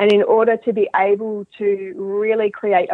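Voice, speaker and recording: A woman at a medium pitch with an Australian accent. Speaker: mental skills coach. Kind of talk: interview.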